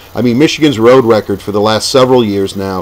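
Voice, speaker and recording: A man's fairly even intonation comes across despite noticeable background noise. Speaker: sports commentator. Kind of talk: casual talk to camera.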